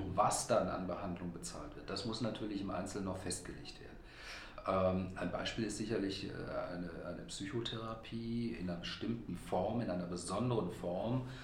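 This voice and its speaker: Noticeable background noise and audible room echo accompany speech with ordinary pitch variation. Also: man. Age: 50s. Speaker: health insurance press spokesman. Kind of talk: interview. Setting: room with reverb. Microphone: echo in recording room.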